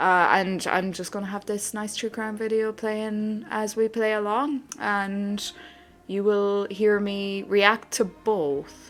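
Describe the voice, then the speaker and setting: With an Irish accent, a woman speaks at a very slow pace. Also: medium pitch for a woman. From Ireland. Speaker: gaming streamer. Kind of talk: casual chat. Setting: live stream. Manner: animated.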